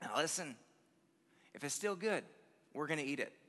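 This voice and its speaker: A man does a put-on character voice that sounds raspy. He talks at a fairly quick pace and a fairly high pitch. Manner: dead serious.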